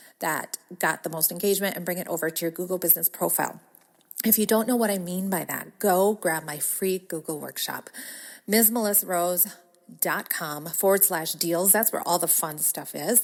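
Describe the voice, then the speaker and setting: In a very clean recording with a silent background, a woman with a Wisconsin accent speaks at a moderate pace, her fairly low pitch carried in fairly even intonation. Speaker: podcast host, business coach. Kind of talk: podcast monologue. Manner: casual, chatty.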